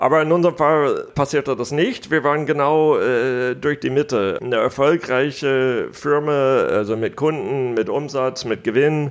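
Here a man speaks with an American accent. His pitch is fairly high and his pace fairly slow. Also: ordinary pitch variation, hardly any pauses. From United States. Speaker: business angel investor. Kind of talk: interview.

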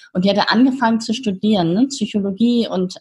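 A somewhat breathy woman's voice of medium pitch, with ordinary pitch variation and a moderate pace. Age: 50s. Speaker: founder of youth coaching platform. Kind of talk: interview.

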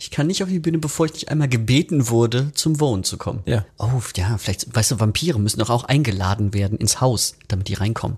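Talking at a very fast pace, a man with a medium pitch sounds somewhat breathy and uses lively intonation. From western Germany, Bergisches Land. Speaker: rock musician. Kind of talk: casual chat.

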